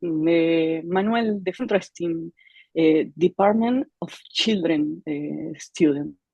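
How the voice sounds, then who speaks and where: A woman with an Argentine accent speaks at a very slow pace in a fairly low pitch with ordinary pitch variation. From Argentina. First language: Spanish. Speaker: clarinet teacher. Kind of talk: panel discussion. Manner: halting.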